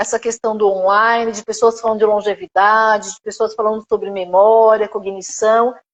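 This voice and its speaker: A woman with a plain, everyday voice speaks at a fairly slow pace, her pitch fairly high. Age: 50s. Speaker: gerontology teacher and therapist. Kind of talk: live stream interview.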